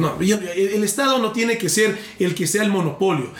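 Audible room echo and noticeable background noise accompany a man speaking at a moderate pace with a high pitch. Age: 40s. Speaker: presidential candidate. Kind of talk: political interview in a comedy podcast.

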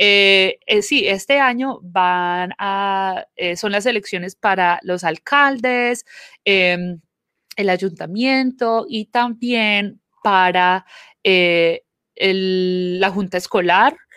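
A woman with a Colombian accent speaks at a very slow pace in a very clean, dry, close recording with no echo and a silent background. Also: medium pitch for a woman, ordinary pitch variation. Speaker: community organization manager, podcast co-host. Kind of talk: casual chat.

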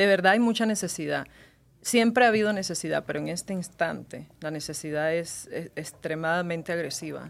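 Talking at a fairly quick pace, a woman with an ordinary speaking voice has a fairly low pitch and ordinary pitch variation. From Cuba. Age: 30s. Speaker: singer and TV presenter. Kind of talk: casual interview.

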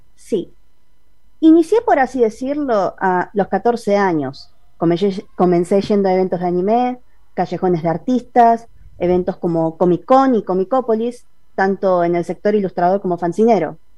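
A woman with a Buenos Aires accent speaks at a fairly slow pace, her medium-pitched voice dark and mellow in tone with lively intonation. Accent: Rioplatense Argentine Spanish (porteño). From Buenos Aires, western suburbs. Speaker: comic artist and illustrator. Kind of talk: interview.

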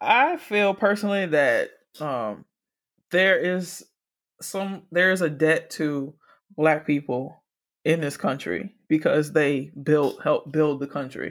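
In a very clean recording with a silent background, a woman talks at a very slow pace in a very deep, low pitch with ordinary pitch variation. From US South, Miami, Florida. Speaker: podcast host. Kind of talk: casual chat.

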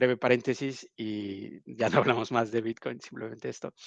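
The delivery has fairly even intonation. It moves at a moderate pace. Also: man. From Mexico, Oaxaca. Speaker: bitcoin event organizer. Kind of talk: podcast interview.

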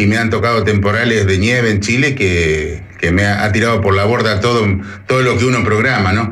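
Over noticeable background noise and audible room echo, a man speaks at a fairly low pitch with fairly even intonation and very even loudness. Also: moderate pace. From Argentina. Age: 50s. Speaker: truck driver. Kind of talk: casual interview, storytelling anecdotes.

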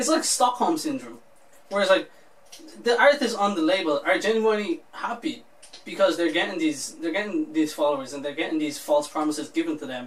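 A man's high voice at a fairly quick pace, with very wide pitch swings over noticeable background noise. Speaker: podcast co-host. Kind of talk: casual banter.

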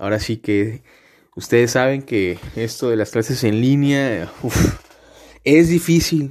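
At a very slow pace, a man with a medium pitch and ordinary pitch variation speaks on a very clean recording with a silent background. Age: 20s. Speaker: podcast host, law student. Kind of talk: casual monologue. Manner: filler-heavy, hesitant.

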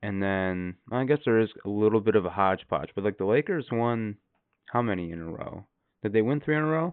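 Using a plain, everyday voice, a man talks at a fairly quick pace with a fairly low pitch and lively intonation. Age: 20s. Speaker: podcast co-host. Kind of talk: casual chat.

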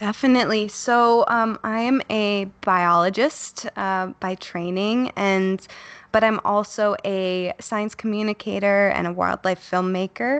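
A woman's normal speaking voice with an American accent, a fairly slow pace and fairly even intonation, in a dry, close sound with no echo and a quiet background. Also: medium pitch for a woman, hardly any pauses. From US Midwest, Chicago. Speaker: biologist and science communicator. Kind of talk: interview conversation.

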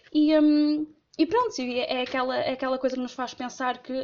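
At a moderate pace, a woman talks in a high voice. She has a northern Portuguese accent. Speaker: listener sharing a story. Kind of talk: voice message storytelling. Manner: halting.

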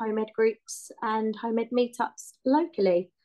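The speaker has a southern English accent and a fairly slow pace. The intonation stays fairly even. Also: woman. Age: 30s. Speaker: home-educating mother and hairdresser. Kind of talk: casual chat.

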